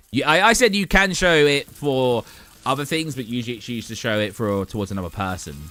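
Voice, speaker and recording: With music in the background, a man with a British accent speaks at medium pitch with lively intonation. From England. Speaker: gaming streamer. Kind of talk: casual chat. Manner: informal.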